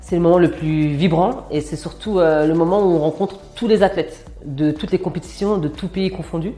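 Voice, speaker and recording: With music in the background, a woman speaks at a moderate pace in a fairly low voice with ordinary pitch variation. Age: 30s. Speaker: former basketball player, sports manager. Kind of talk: interview testimony. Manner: frequent hesitations (euh).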